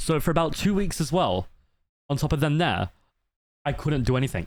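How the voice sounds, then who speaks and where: With an Australian accent, a man speaks at a fairly high pitch with vocal fry. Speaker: VTuber streamer. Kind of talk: casual livestream chat. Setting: livestream. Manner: fast; loud.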